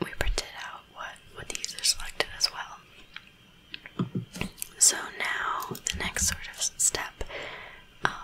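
Whispering at a fairly slow pace, the speaker leaves long, frequent pauses. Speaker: ASMR creator, coding tutor. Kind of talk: ASMR coding tutorial. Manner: whispered. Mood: calm, relaxed.

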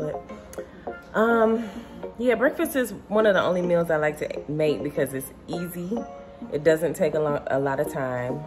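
A woman talks at a moderate pace. Behind her, clear music can be heard. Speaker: vlogger. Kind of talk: casual vlog chat. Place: kitchen. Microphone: phone near.

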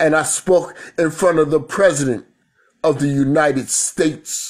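A man with a New York accent speaks at a moderate pace with ordinary pitch variation over a quiet background. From New York City. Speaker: spoken word poet. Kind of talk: spoken word performance. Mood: reflective, proud, spiritual. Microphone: phone near.

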